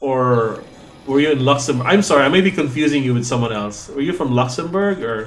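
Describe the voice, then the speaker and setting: Noticeable background noise and audible room echo surround a man's voice. He speaks at a fairly quick pace in a Cebuano accent. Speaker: video game streamer. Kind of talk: live gameplay commentary. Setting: live stream. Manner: fast.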